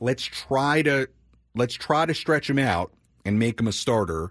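In a plain, everyday voice at medium pitch, a man with an American accent speaks fairly slowly with lively intonation on a very clean recording with a silent background and a dry, close sound with no echo. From Long Island, New York. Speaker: fill-in sports radio host. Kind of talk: sports talk radio chat.

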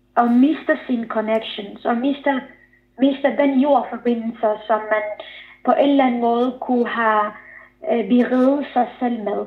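Fairly slow and fairly even in intonation, a woman speaks at a high pitch. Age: 30s. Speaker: author. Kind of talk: interview. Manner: halting.

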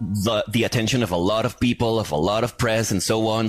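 Noticeable background noise is present throughout. The man talking has a fairly low pitch. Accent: Spanish. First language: Spanish. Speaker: metal radio and podcast host. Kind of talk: interview.

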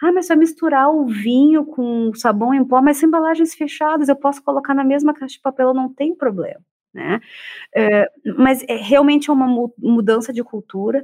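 At a moderate pace, a woman with a high pitch talks with ordinary pitch variation. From Porto Alegre, southern Brazil. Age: 40s. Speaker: psychologist and researcher. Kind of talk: panel discussion.

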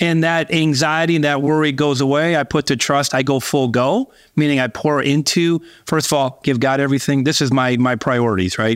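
In a very clean recording with a silent background, a man with a plain, everyday voice speaks at a fairly quick pace, with fairly high pitch, ordinary pitch variation and very even loudness. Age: 50s. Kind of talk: interview.

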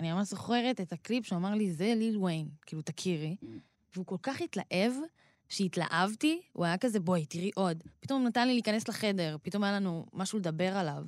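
In a very clean recording with a silent background, a woman with a normal speaking voice talks fairly quickly at a medium pitch with ordinary pitch variation. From Israel, Rehovot. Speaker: rapper. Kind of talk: interview.

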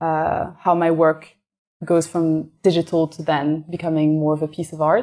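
With a French accent and monotone, flat intonation, the speaker goes at a fairly slow pace on a very clean recording with a silent background. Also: woman. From France (Paris). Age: young. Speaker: illustrator and artist. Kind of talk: interview conversation.

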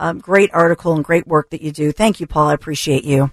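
A woman talks at a fairly quick pace in a fairly low pitch, with a plain, everyday voice. The sound is dry and close, with no echo. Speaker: talk radio host. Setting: radio studio.

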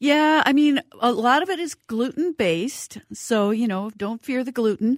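At a fairly slow pace with hardly any pauses, a high-pitched woman speaks with lively intonation in a very clean, dry, close recording with a silent background and no echo. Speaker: cookbook author. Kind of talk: radio interview.

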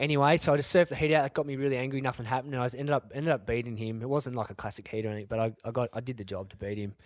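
In a very clean recording with a silent background, a man with an Australian accent talks at a very fast pace with hardly any pauses, at a medium pitch with ordinary pitch variation. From Australia, Sydney northern beaches. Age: 40s. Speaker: former pro surfer, world champion. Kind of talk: casual interview.

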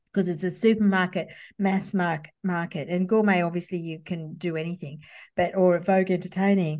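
A woman with an Australian accent speaks in a fairly low, monotone, flat voice over a quiet background. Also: moderate pace. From Sydney western suburbs, Australia. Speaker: copywriter and former magazine journalist. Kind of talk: interview.

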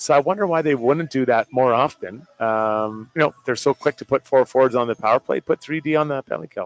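Speaking at a fairly quick pace with hardly any pauses, a man with an unremarkable speaking voice keeps a medium pitch and ordinary pitch variation in a dry, close sound with no echo. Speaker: hockey analyst, former player. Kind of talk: live postgame sports talk. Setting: live at a bar with crowd.

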